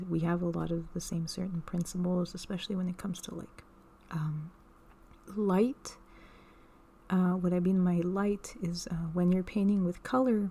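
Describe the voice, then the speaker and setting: The voice is soft-spoken and moves at a moderate pace. Long, frequent pauses break up the speech. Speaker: ASMR creator; artist. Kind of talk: casual ASMR talk to camera.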